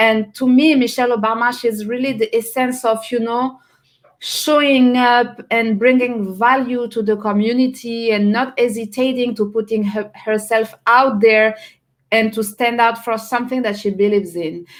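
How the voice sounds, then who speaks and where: A woman with a fairly high voice speaks at a moderate pace with fairly even intonation. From France. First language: French. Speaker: personal branding strategist. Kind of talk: casual interview chat.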